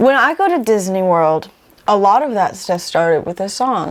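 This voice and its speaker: At a moderate pace, a woman of medium pitch talks in a normal speaking voice. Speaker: singer-songwriter. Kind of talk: casual interview.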